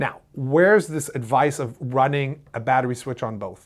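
A man speaks at a moderate pace, and the background is quiet. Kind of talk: tutorial. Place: studio.

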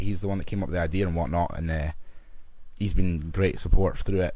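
In a Scottish accent, a man with a very deep, low pitch and a dark, mellow tone speaks fairly quickly with fairly even intonation. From Scotland. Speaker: musician and producer. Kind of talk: casual chat. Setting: small room.

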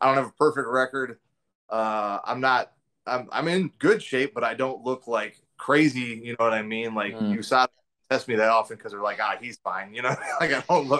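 A man talks at a fairly quick pace with a bright, sharp tone and ordinary pitch variation. The background is quiet. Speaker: remote interviewee. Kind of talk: interview answer. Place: kitchen. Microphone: video call.

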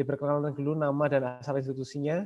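A man's fairly high-pitched voice at a fairly quick pace. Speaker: webinar moderator. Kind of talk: moderated webinar discussion. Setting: video call. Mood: friendly, smiling. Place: home room. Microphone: earbuds.

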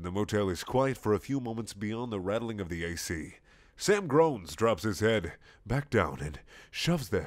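Lively intonation in a natural reading voice

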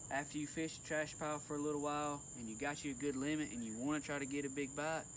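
A man talking at a very fast clip over noticeable background noise. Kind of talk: tutorial. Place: boat. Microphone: phone near.

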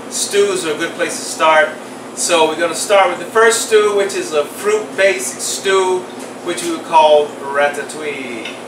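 Over noticeable background noise, a man talks at a fairly slow pace in a high pitch with ordinary pitch variation. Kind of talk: tutorial. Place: kitchen.

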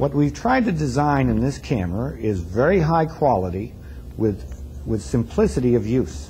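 A man speaks at a moderate pace with a fairly low pitch, a dark, mellow tone, vocal fry and very wide pitch swings, yet very even loudness. Light background noise is present. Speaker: company product presenter. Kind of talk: 1974 product demo narration, corporate sales presentation. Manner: formal; measured, businesslike. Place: studio.

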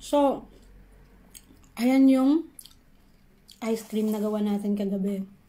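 A woman speaks at a very slow pace with long, frequent pauses. Her tone is dark, mellow and somewhat breathy, with ordinary pitch variation. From Philippines, Davao; Philippines. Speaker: food vlogger. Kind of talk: casual vlog, eating and cooking talk. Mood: cheerful, relaxed. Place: kitchen. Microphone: phone near.

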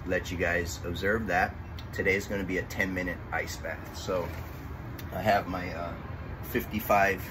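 Flat, monotone speech at a fairly slow pace, with noticeable background noise. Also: man, very deep, low pitch for a man. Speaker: fitness instructor. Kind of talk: tutorial explanation. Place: garden.

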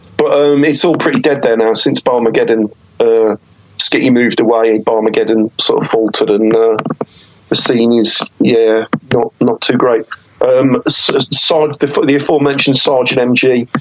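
A man talks at a moderate pace with very even loudness. Noticeable background noise runs behind him. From West Midlands, England (Wolverhampton). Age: 30s. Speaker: journalist and battle rapper. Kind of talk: casual interview.

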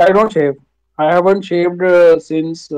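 Against a quiet background, a man with a high pitch speaks at a very slow pace with ordinary pitch variation. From India, Jammu. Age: 30s. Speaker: bank clerk. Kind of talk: casual chat. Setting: video call with stranger on website. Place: home room. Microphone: video call.

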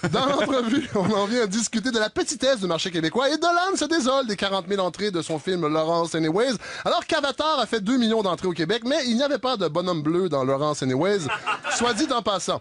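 Noticeable background noise sits under a man's high voice with a Quebec accent, which keeps a very even loudness yet swings very widely in pitch at a fairly quick pace. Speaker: satirical radio columnist. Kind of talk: scripted satirical commentary.

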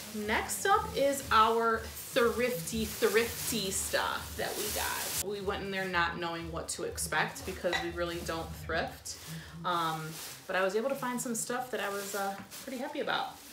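A woman speaks at a fairly slow pace with music in the background. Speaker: plant vlogger. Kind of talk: casual haul vlog chat. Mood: cheerful, excited. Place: home room. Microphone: camera far.

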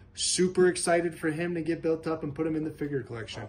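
A man speaks with a high pitch. Light background noise can be heard. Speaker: toy collector vlogger. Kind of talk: casual unboxing commentary. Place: home room. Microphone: phone near.

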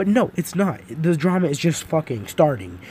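Speaking at a moderate pace, a man with an ordinary speaking voice uses lively intonation at a fairly high pitch. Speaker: gaming YouTuber. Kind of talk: profanity-laced angry rant at YouTube drama. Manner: furious, swearing constantly, exasperated; rambling with fillers and restarts.

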